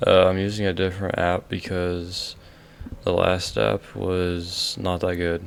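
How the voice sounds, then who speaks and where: A quiet man's voice with a very deep, low pitch. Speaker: YouTuber ranking fireworks. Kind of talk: casual vlog ranking. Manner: quiet, keeping voice down; halting, many fillers.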